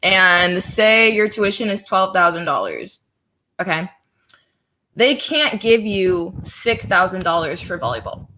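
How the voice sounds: With a bright, sharp tone, a woman speaks fairly slowly at a fairly low pitch, her intonation lively.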